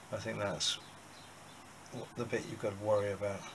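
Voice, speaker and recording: Noticeable background noise sits behind a man speaking with a fairly low pitch. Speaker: amateur motorcycle restorer. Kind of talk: casual workshop talk to camera. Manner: hesitant, thinking aloud. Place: workshop. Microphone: camera far.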